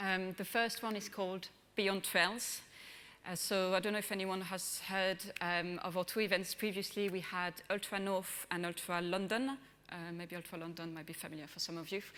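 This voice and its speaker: Her tone bright and sharp, a woman speaks with fairly even intonation. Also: medium pitch for a woman, moderate pace. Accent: French. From France. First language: French. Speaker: brand manager. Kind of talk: conference presentation. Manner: hesitant, many fillers.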